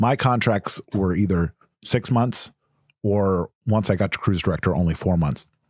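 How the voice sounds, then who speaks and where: A man's very deep, low voice with lively intonation in a dry, close sound with no echo. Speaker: actor and voice actor, former cruise director. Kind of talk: casual podcast chat.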